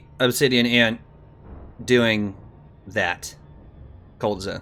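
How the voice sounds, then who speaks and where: This is a man with an American accent. His tone is bright and sharp. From United States. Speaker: video game streamer. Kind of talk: casual gaming livestream chat.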